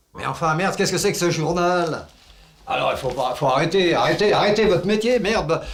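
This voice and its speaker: A man speaks at a fairly quick pace in a high voice with ordinary pitch variation and big swings in loudness, with audible room echo and noticeable background noise. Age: 70s. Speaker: retired villager in a neighbour dispute. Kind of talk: heated phone complaint. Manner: angry, loud.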